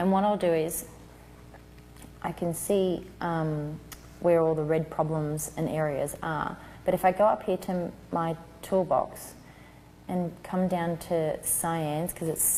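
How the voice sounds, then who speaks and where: Soft-spoken and fairly slow, the voice has a dark, mellow tone, a monotone, flat intonation and long, frequent pauses. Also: woman, fairly low pitch for a woman. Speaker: newborn photographer teaching a class. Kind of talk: tutorial.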